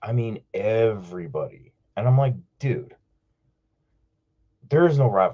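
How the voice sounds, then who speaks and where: With an American accent, a man speaks at medium pitch and a moderate pace, his tone dark and mellow and somewhat breathy. His pitch variation is ordinary, with long, frequent pauses and big swings in loudness. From New York (Queens). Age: 40s. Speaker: caller. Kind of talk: casual chat. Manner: animated.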